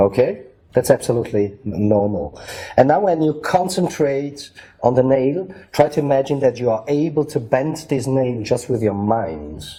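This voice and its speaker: A man with a German accent speaks at a moderate pace and medium pitch, his somewhat breathy voice dark and mellow in tone, with lively intonation. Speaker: magician. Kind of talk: tutorial. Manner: halting.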